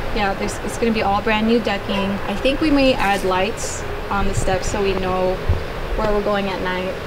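A woman at a fairly slow pace, under loud background noise. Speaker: homeowner vlogger. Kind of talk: casual vlog tour. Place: garden.

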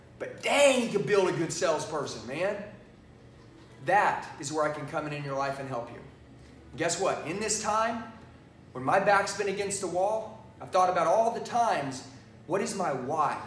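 A man's high voice at a moderate pace, with lively intonation, big swings in loudness, long and frequent pauses, audible room echo and light background noise. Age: 40s. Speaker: sales trainer. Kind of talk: sales pitch. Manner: animated. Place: studio. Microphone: lapel.

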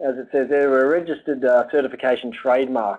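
A man speaking at a very fast pace against a quiet background. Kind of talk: webinar presentation. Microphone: video call.

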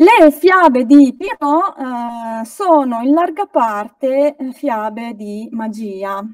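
The voice moves at a very slow pace with hardly any pauses, lively intonation and big swings in loudness, recorded dry with no echo against a quiet background. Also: woman, high pitch for a woman. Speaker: folklore researcher; guest. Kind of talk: lecture. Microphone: video call.

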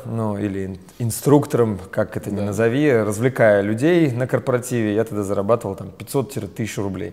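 A man speaks in a dark, mellow tone. His pace is moderate and his pitch variation is ordinary. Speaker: business trainer and company founder. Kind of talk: interview. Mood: relaxed, smiling. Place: studio. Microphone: lapel.

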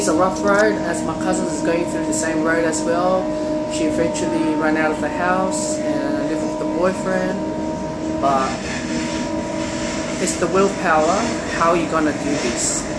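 Loud background noise sits behind a man who speaks at a fairly slow pace. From China. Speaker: vlogger giving relationship advice. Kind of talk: casual talk to camera. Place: train. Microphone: phone near.

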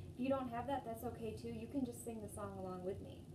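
Noticeable background noise is present. The voice belongs to a woman. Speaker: storytime host. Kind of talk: children's storytime and singing. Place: home room. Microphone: phone near.

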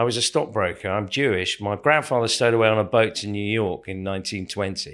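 The man has an unremarkable speaking voice, fairly low in pitch. He talks at a fairly quick pace. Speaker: stage actor. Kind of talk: interview.

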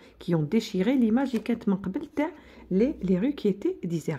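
A woman with an Algerian accent, somewhat breathy and dark, mellow in tone, at a fairly slow pace with very wide pitch swings. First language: Algerian Arabic (speaking French). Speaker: teacher. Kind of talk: lecture; tutorial. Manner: code-switching Arabic and French; halting, repetitive. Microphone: phone near.

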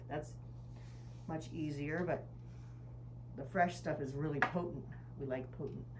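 A woman talks at a fairly slow pace, with noticeable background noise present. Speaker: cooking instructor. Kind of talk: tutorial. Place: kitchen. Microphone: camera far.

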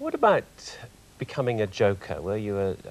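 His voice sits at a fairly low pitch for a man. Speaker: TV psychologist, interviewer. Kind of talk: TV interview questions. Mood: probing, measured. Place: studio. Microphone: lapel.

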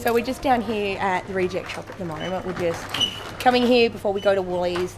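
Noticeable background noise under a woman's fairly quick speech. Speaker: family vlogger. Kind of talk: casual vlog chat. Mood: playful and joking. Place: shop. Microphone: phone near.

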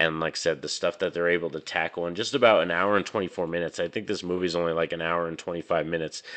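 Words come at a very fast pace with hardly any pauses, in an American accent. The background is quiet. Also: man, very deep, low pitch for a man. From New Mexico, US. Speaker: movie reviewer YouTuber. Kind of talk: casual video review. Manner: animated. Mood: enthusiastic. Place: home room. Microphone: studio mic.

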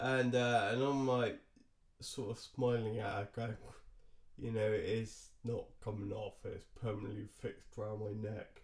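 Against a quiet background, a man speaks at a fairly slow pace in a somewhat breathy voice with monotone, flat intonation. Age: 30s. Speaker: vlogger. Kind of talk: personal vlog storytelling; casual vlog chat, storytelling. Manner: halting, many fillers. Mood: relaxed, lightly amused. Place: home room. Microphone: webcam.

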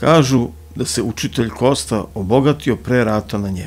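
A man in a dramatic tone with very wide pitch swings, over faint music in the background. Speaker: audiobook narrator. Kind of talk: literary audiobook reading of a crime novel, ASMR-style bedtime storytelling. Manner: soft, hushed ASMR narration; slow, measured, dramatic literary delivery. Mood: dark, ominous storytelling. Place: studio. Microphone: studio mic.

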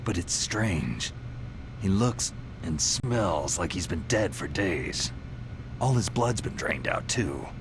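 A man puts on a character voice, pitched low. He speaks at a slow pace with lively intonation.

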